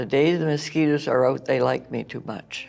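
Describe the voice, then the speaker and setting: A woman with a Canadian accent speaks with fairly even intonation and vocal fry. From New Brunswick, Canada. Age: 80s+. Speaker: retired home economics teacher. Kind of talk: interview. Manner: halting, many fillers.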